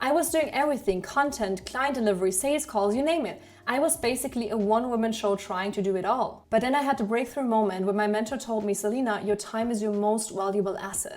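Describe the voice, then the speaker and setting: A woman with a German accent, very fast with hardly any pauses and ordinary pitch variation. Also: fairly high pitch for a woman. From Germany. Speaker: online business coach. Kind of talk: sales pitch.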